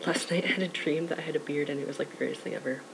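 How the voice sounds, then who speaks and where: With fairly even intonation, a man at a fairly high pitch talks over noticeable background noise. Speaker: vlogger documenting transition. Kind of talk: casual vlog. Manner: rambling with many fillers.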